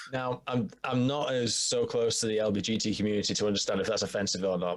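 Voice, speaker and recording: Noticeable background noise accompanies a man with a northern English accent. He talks at a very fast pace with very even loudness. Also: medium pitch for a man, ordinary pitch variation. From northern England, York. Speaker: podcast guest. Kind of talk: casual chat.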